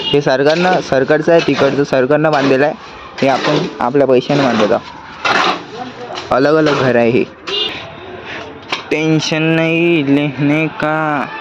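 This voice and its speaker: With very even loudness and ordinary pitch variation, a man speaks at a fairly high pitch over noticeable background noise. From India, Akola (Vidarbha, Maharashtra). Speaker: vlogger. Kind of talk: casual vlog chat. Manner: animated.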